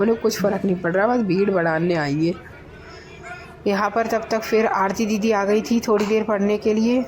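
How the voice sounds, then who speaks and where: Speaking at a fairly slow pace, a woman keeps her medium pitch fairly even in intonation and her loudness very even. Noticeable background noise runs under her voice. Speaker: vlogger. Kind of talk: vlog narration. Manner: conversational.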